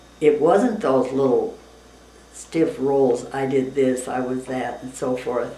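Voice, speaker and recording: Very slow and very deep in pitch, a woman speaks with fairly even intonation in audible room echo. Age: 90s. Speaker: interviewee, retired teacher. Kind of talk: casual interview. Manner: halting.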